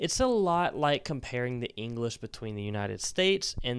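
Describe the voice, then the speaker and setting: A man's plain, everyday voice at medium pitch, moderate pace and lively intonation, on a very clean recording with a silent background. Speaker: Spanish teacher podcaster. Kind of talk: educational monologue with promo.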